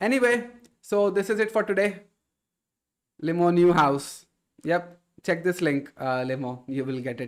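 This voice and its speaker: Speaking at a moderate pace with long, frequent pauses, a man with an Indian accent uses lively intonation at a high pitch. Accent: Indian, slightly affected by Jharkhand. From India, Kolkata. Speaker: live streamer, IT content creator. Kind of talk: casual live stream chat. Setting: live stream.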